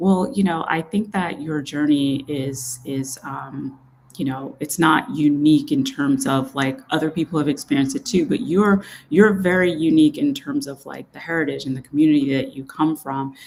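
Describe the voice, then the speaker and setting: Woman with an American accent, very deep and low in pitch, at a moderate pace. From Jamaica, raised in US. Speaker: show host. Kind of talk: interview conversation.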